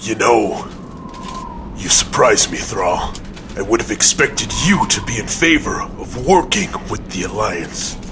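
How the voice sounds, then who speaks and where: A man's put-on character voice with long, frequent pauses and clear background noise. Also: moderate pace. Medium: machinima. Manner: gruff, blunt.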